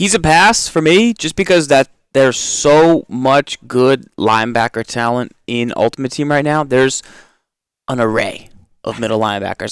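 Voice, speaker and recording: A man with an American accent talks at a medium pitch and moderate pace in a normal speaking voice. His intonation is lively, and the recording is very clean with a silent background. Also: dry, close sound with no echo. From Massachusetts. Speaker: video game podcast co-host. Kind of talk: casual gaming discussion.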